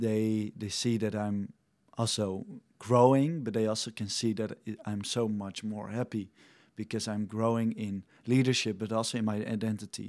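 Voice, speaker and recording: A man reads at a moderate pace in a fairly low pitch with monotone, flat intonation. The recording is very clean, with a silent background. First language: Dutch. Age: 20s. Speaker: mission trainee and young leader. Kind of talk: interview.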